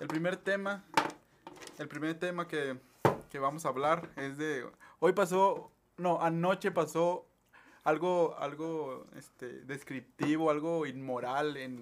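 Speaking at a very slow pace with long, frequent pauses, a man uses a fairly high pitch and fairly even intonation, while his loudness swings widely. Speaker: podcast host. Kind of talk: casual chat.

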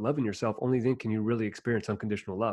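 The speaker is a man. His voice sits at medium pitch. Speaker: motivational speaker. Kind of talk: interview conversation.

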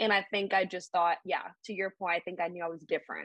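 A woman with an American accent speaks at a very fast pace in a bright, sharp tone. The sound is dry and close, with no echo. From US South, Alabama (Birmingham area). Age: 20s. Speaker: mental health advocate. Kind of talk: casual chat.

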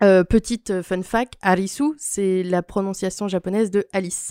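This woman's voice has a dark, mellow tone at medium pitch, with fairly even intonation and a fairly slow pace. The recording is very clean, with a silent background and a dry, close sound with no echo. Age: 20s. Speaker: podcast guest, cultural recommendations. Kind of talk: casual chat.

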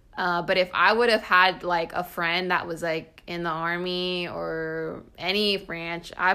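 The voice has a bright, sharp tone and monotone, flat intonation, with an American accent. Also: woman. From California. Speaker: podcast host and army officer. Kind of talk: casual interview chat. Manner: casual, uses filler words.

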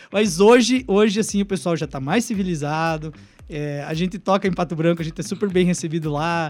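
A man speaks at a fairly quick pace with a high pitch and ordinary pitch variation. The recording is very clean, with a silent background. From southwest Paraná, Brazil (Francisco Beltrão). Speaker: rock band singer. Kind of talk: casual radio interview. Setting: radio studio, live. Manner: blunt, rough way of talking.

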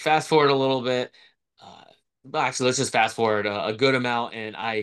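In an American accent, a man speaks with an ordinary speaking voice and ordinary pitch variation against a quiet background. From Florida, US. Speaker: real estate investor and author. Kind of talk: coaching conversation.

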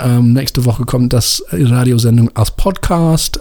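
Speaking with a non-native accent at a moderate pace, the voice shows ordinary pitch variation against noticeable background noise. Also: man. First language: English (speaking German). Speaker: radio host and music editor. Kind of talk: radio show presenting. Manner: halting, many filler sounds.

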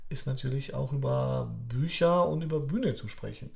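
Audible room echo colors this recording. A man speaks in it at a moderate pace. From Poland, Upper Silesia (moved to Germany around age 10). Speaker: author and teacher, podcast co-host. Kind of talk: casual chat. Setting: studio-like home recording, sitting opposite co-host.

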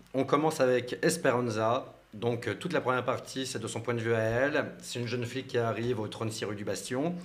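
A medium-pitched man at a fairly quick pace, with ordinary pitch variation. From Portuguese background. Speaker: novelist and former film journalist. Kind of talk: radio interview. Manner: hesitant, many fillers.

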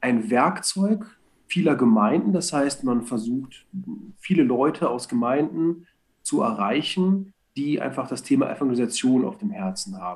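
A man talks at a medium pitch and a fairly slow pace. His pitch swings very widely. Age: 30s. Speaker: church street evangelist, sales background. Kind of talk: casual chat.

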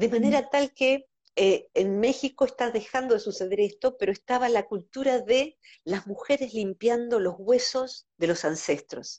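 A woman speaks at a fairly high pitch. Hers is an ordinary speaking voice at a moderate pace. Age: 50s. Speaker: psychologist. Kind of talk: casual interview.

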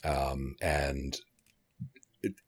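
There is vocal fry in this man's voice. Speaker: guest book discussant. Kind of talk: casual chat about a book.

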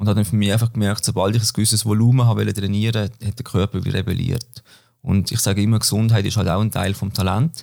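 Very fast and fairly low in pitch, a man speaks with fairly even intonation and a dark, mellow tone. The recording is very clean, with a silent background. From Switzerland, Basel-Land. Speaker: former cyclist and business student. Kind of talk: interview. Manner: hesitant, many fillers.

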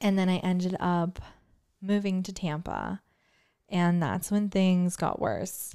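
A woman speaks at a very slow pace with long, frequent pauses, medium pitch and monotone, flat intonation. Her tone is dark and mellow, on a very clean recording with a silent background. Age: 20s. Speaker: podcast host. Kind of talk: casual chat, faith podcast intro.

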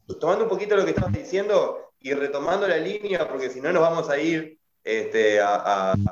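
In a room with audible echo, a man with a fairly high voice talks at a moderate pace, his pitch swinging very widely. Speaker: podcast host. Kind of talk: casual chat. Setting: video call.

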